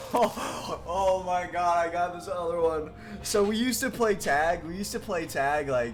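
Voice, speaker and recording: A man's high-pitched voice in an American accent, at a moderate pace with ordinary pitch variation, amid noticeable background noise and audible room echo. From Michigan. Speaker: video game streamer. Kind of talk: casual chat. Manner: animated.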